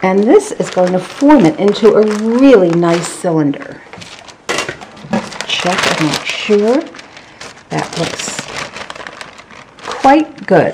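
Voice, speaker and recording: Against noticeable background noise, a woman at medium pitch talks at a very slow pace with long, frequent pauses and very wide pitch swings. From Scotland. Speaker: home cook. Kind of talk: cooking demonstration.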